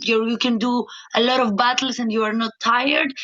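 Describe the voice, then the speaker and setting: A woman with a Greek accent talks at a moderate pace in a fairly high pitch. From Greece. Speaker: professional dancer. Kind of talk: podcast interview. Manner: halting, many fillers.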